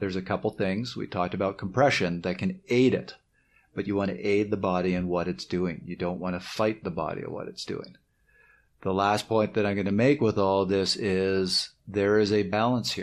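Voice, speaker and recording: Speaking at a moderate pace with a slight Canadian accent, a man has a fairly low pitch and ordinary pitch variation. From Canada. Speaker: cycling coach and podcast co-host. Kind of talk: podcast summary segment.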